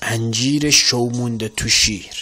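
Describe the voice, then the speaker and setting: A man with a central Iranian accent at a very slow pace, ordinary pitch variation, music in the background. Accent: Abarkuh dialect. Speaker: poetry reciter. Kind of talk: poetry reading.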